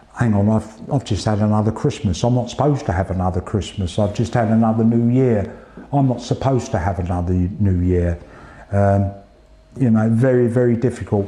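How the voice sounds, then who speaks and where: Spoken with an English accent at a fairly quick pace, the voice keeps a very even loudness and ordinary pitch variation. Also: man, fairly low pitch for a man. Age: 60s. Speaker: retired police officer and cancer patient. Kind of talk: interview testimony. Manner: halting, with hesitations and repeats.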